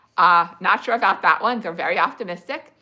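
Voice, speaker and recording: Bright and sharp in tone, a woman with an American accent talks with ordinary pitch variation. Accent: slight speech impediment. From New Jersey. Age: 40s. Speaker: livestreamer sharing health recovery experience. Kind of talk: casual livestream chat answering comments. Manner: hesitant, many fillers and restarts.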